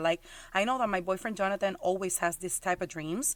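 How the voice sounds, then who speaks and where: A woman speaks at a medium pitch with a strong Puerto Rican accent and ordinary pitch variation. The recording is very clean, with a silent background. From Puerto Rico. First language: Spanish. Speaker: podcast co-host. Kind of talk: casual chat.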